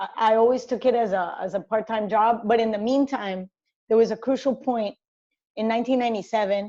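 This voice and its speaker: Fairly high-pitched woman with a Spanish accent, a dark, mellow tone, fairly even intonation and a fairly quick pace. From Colombia, Cali. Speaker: sports journalist and commentator. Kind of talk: interview conversation.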